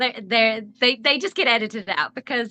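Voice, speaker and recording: A woman's bright, sharp, fairly high voice in a Southern US accent, with ordinary pitch variation. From US South. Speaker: author. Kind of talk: interview.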